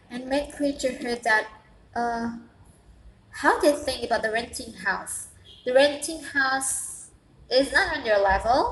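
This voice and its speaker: In an Indonesian accent, a woman with a high pitch speaks at a very slow pace with long, frequent pauses and ordinary pitch variation. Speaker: vlogger, international student. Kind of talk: casual vlog monologue. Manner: halting, many repetitions and fillers.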